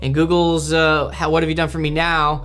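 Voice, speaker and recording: A man talks at a fairly quick pace. Music plays in the background, and room echo is audible. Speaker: marketing instructor. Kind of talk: lecture. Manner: fast; halting.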